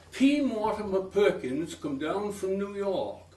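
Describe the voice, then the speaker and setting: Background noise is noticeable. A man speaks at a very slow pace. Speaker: former TV host and singer. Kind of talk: poetry reading. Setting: live talk to an audience.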